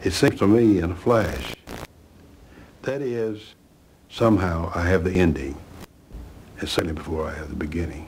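Somewhat breathy, the speaker uses a Southern US accent at a moderate pace with long, frequent pauses, over light background noise. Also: man, very deep, low pitch for a man. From US South, Alabama (Chambers County); Alabama. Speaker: author; interviewee. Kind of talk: interview; poetry reading. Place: home room.

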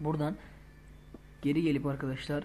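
Very fast, a man speaks in a dark, mellow tone amid audible room echo. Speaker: gaming YouTuber. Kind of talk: tutorial.

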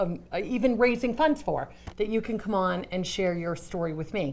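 Moderate pace and ordinary pitch variation. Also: woman.

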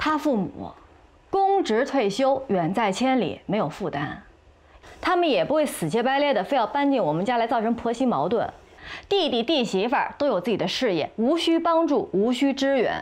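Her voice sits high and her pace is moderate. The pitch rises and falls very widely. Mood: frustrated, arguing. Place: home room.

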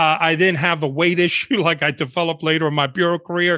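A man speaks with a New York accent in a bright, sharp tone at a high pitch. The background is quiet. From New York City, Bronx and Washington Heights, born in Cuba; New York City. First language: Spanish. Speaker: retired undercover FBI agent; guest. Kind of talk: interview storytelling. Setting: video call. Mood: relaxed storytelling. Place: home room. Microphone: video call.

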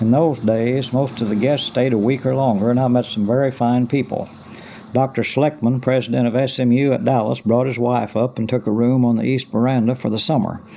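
In an Ozark accent, a man speaks at a fairly quick pace with fairly even intonation. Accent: Ozark Southern American. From Ozarks, Arkansas. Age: 60s. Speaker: retired postmaster. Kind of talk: oral history reminiscence. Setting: cassette recording. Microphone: old recording.

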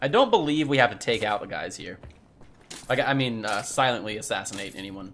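A man talks at a fairly quick pace with ordinary pitch variation. His loudness swings widely over light background noise. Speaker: gaming streamer. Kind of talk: let's play commentary. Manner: casual, laughs often.

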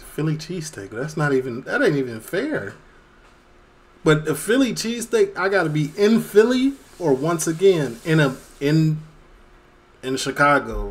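A man at a fairly slow pace, with very wide pitch swings. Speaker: reaction streamer. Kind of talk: casual reaction commentary. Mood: playful, opinionated.

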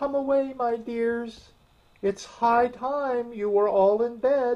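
A man puts on a shaky character voice at an extremely high pitch and speaks at a very slow pace. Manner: anxious, fussing.

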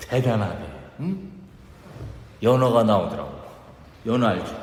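Very slow and with very wide pitch swings, a man speaks at a medium pitch with a Chungcheong accent. Background noise is noticeable. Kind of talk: comic dialect monologue, contest performance. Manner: chatty, humorous.

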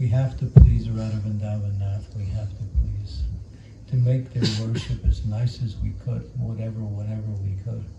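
Loud background noise runs under a man's speech. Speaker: monk and spiritual teacher. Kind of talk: spiritual talk to youth. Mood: warm, lightly humorous. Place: home room.

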